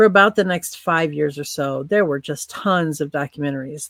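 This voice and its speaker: A woman with a Midwestern American accent and a very deep, low pitch speaks at a moderate pace, recorded with a dry, close sound and no echo. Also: very clean recording, silent background. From US Midwest, northern Illinois (Quad Cities). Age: 60s. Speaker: podcast storyteller. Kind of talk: interview, personal recollection.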